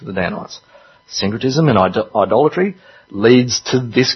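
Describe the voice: This is plain reading aloud with lively intonation.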